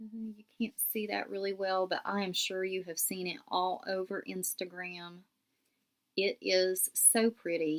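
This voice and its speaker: In a West Virginia accent, the speaker talks at a fairly slow pace with fairly even intonation. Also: woman, medium pitch for a woman. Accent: southern West Virginia. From southern West Virginia. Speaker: knitting podcaster. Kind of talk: casual show-and-tell podcast. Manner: casual, with frequent fillers.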